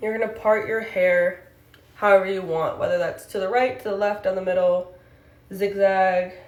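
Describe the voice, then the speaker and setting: With audible room echo, a woman of medium pitch speaks at a moderate pace with fairly even intonation. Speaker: hair tutorial vlogger. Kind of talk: tutorial. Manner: out of breath.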